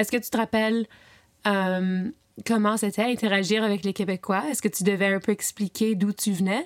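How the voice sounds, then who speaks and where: A woman speaks at a moderate pace in a plain, everyday voice, pitched medium. Her intonation is fairly even, and the sound is dry and close with no echo. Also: very clean recording, silent background. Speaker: podcast host and interviewer. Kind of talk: interview. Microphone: slight echo and irregular sounds.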